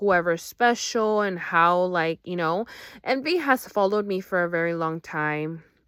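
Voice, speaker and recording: A woman speaks at a fairly slow pace with fairly low pitch and ordinary pitch variation. The recording is very clean and the background silent. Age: 30s. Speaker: vlogger. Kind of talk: personal venting monologue. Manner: rambling, halting with fillers.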